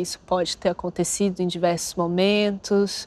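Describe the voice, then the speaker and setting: A woman speaks at a moderate pace in a monotone, flat intonation. The sound is dry with no echo. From Brazil, Brasília; Brazil. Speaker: actress. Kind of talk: interview. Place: studio. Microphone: lapel.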